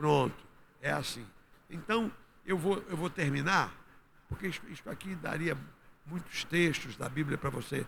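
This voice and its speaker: Through audible room echo comes a man with a fairly high pitch, speaking at a fairly slow pace. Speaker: pastor. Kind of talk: sermon.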